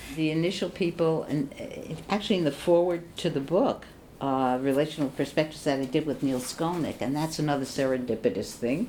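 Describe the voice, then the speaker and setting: Her very deep, low voice moves at a fairly quick pace with ordinary pitch variation. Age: 80s+. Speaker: psychoanalyst. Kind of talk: oral history interview answer.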